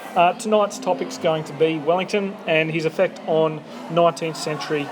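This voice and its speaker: With an Australian accent, a man talks at a moderate pace in a fairly high pitch, with audible room echo and music playing in the background. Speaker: podcast host. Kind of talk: casual interview chat. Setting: bar over coffee.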